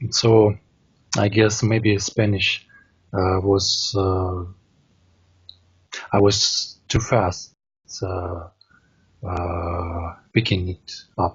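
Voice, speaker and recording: A man speaks very slowly in a fairly low, somewhat breathy voice. His intonation is flat and monotone, broken by long, frequent pauses. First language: Russian. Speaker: language learner. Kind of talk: casual conversation practice. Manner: halting, many fillers.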